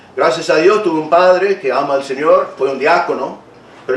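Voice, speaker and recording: Noticeable background noise and audible room echo around a man speaking fairly quickly. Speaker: pastor. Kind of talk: sermon. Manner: halting, repeats words.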